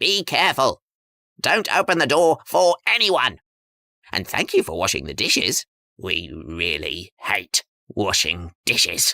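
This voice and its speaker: A low-pitched put-on character voice moves at a fairly slow pace on a very clean recording with a silent background. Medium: read story.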